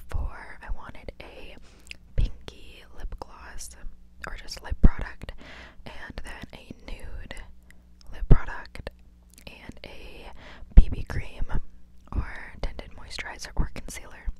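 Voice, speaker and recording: Whispering at a very slow pace, with long, frequent pauses. The loudness swings widely. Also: woman. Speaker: ASMR creator. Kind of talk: soft-spoken ASMR haul chat. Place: home room. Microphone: handheld.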